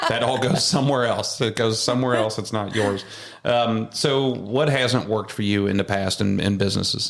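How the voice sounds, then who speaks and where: At a moderate pace and very even loudness, a man speaks at a medium pitch with ordinary pitch variation over noticeable background noise. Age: 40s. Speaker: home builder, podcast host. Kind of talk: casual interview chat. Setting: studio.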